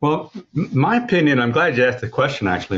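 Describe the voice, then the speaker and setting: A man with an American accent sounds somewhat breathy against a quiet background. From Oklahoma. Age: 60s. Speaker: racehorse owner and breeder. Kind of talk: interview. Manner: halting, many repetitions.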